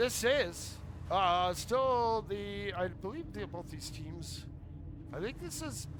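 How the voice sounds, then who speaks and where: Amid noticeable background noise and audible room echo, a man speaks at a very slow pace with big swings in loudness. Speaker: esports caster. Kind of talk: casual chat; live commentary. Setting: live stream. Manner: animated.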